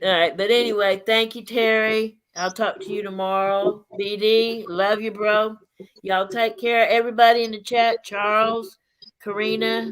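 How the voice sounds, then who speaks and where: A woman talks with a Southern US accent. Her pitch is fairly high. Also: fairly even intonation, moderate pace. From US South (raised there, born in Indiana). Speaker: livestream panel host. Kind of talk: casual chat.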